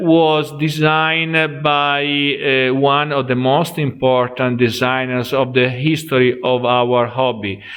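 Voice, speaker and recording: Speaking at a very slow pace, a man has a non-native accent. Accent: non-native English speaker. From Italy. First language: Italian. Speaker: board game podcaster and reviewer. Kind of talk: video review and presentation. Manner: halting, many fillers.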